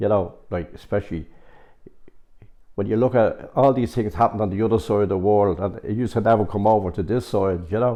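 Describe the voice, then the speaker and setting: With a Dublin accent, a man talks at a fairly quick pace. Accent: Dublin Irish. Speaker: local resident. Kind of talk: interview.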